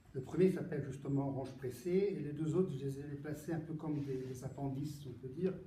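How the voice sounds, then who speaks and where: A man speaks at a fairly quick pace in a fairly high voice for a man, his intonation fairly even. Room echo is audible, and background noise is noticeable. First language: Italian (speaking French). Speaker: poet. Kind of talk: book presentation Q&A. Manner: halting, many repetitions and hesitations.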